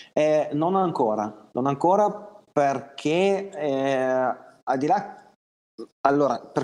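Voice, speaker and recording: A man's voice, fairly high in pitch. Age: 30s. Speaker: electrician and business owner. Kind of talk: interview.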